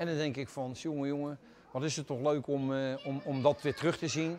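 Against light background noise, a man with a strong Rotterdam accent speaks at a fairly quick pace with fairly even intonation. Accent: broad Rotterdam dialect. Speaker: museum visitor interviewed. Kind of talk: interview answer. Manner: fast. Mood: enthusiastic, proud. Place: hall.

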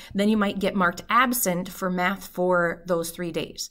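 A woman at medium pitch with fairly even intonation, a moderate pace, and a quiet background. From northern Minnesota. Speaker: math teacher. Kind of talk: tutorial; casual chat. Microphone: webcam.

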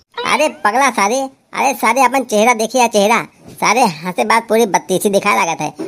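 This man uses a cartoonish character voice with a high pitch. His pitch varies in an ordinary way, and his pace is moderate.

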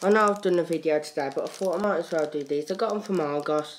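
The man talks at a fairly quick pace, with light background noise behind him. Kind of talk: casual vlog chat. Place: home room. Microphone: phone near.

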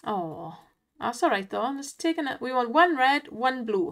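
Speaking slowly with a Welsh accent, a woman has a high pitch and very wide pitch swings. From Wales, not the valleys, east. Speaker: online slots streamer. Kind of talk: casual live commentary on slot play. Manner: animated, exclamatory.

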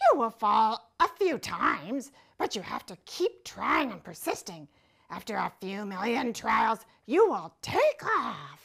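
In a very clean recording with a silent background, a female-sounding cartoonish character voice speaks at a fairly slow pace and a fairly high pitch. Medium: puppet. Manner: warm, encouraging.

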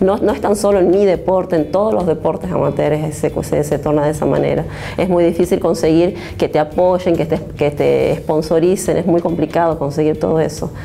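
A woman speaks at a moderate pace in a fairly low pitch, her intonation fairly even and her loudness very even, with light background noise behind her. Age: 30s. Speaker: taekwondo athlete. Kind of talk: interview. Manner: halting. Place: studio. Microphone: lapel.

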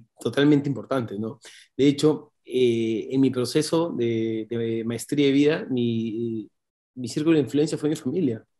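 A man with a dark, mellow tone speaks at a moderate pace with medium pitch and fairly even intonation against a quiet background. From Peru, Lima; Peru. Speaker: entrepreneur, company owner; interview guest. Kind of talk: interview storytelling. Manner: talkative, fluent. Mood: reflective, earnest. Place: home room. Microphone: video call.

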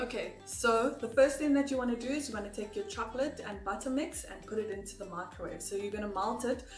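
A woman speaks in a high voice with ordinary pitch variation. Room echo is audible, and faint music plays in the background. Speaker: home baking vlogger. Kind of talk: casual vlog chat and tutorial. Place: kitchen. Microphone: phone near.

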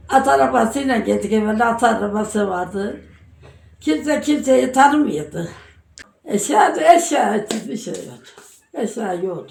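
With audible room echo, a woman speaks fairly slowly in a fairly high voice, her pitch swinging very widely and her loudness rising and falling sharply. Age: 80s+. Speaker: elderly villager. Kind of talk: casual interview chat.

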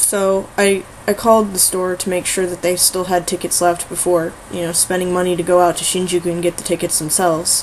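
Over light background noise, a woman talks in a monotone, flat intonation. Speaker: vlogger. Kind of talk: casual vlog chat. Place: home room. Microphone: webcam.

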